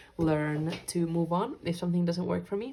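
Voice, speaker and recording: This woman speaks with a Finnish accent. Her pace is moderate. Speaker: journaling YouTuber, medical student. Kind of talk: casual vlog chat. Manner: hesitant, many fillers.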